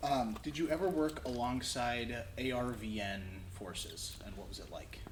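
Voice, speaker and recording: A man speaks slowly-ish, at a fairly slow pace, his medium-pitched voice somewhat breathy and his intonation lively. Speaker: museum collections manager. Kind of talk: interviewer questions.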